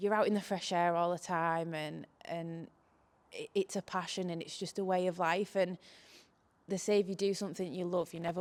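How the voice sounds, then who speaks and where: On a very clean recording with a silent background, a speaker with a Cumbrian accent talks in a monotone, flat intonation. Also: woman. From northern England, Cumbria. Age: 20s. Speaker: farmer. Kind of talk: interview.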